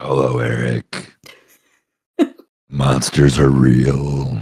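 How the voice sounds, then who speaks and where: In a put-on character voice, a man speaks at a very slow pace with a very deep, low pitch and monotone, flat intonation. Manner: creepy, menacing.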